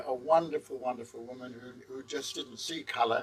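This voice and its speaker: With a London accent, a man speaks at a moderate pace. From England, London. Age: 70s. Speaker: guest house owner. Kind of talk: interview.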